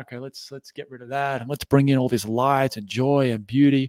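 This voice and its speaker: Speaking with an Australian accent at a fairly quick pace, a man uses a medium pitch in a dry, close sound with no echo. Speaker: entrepreneur and anxiety coach. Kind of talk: interview.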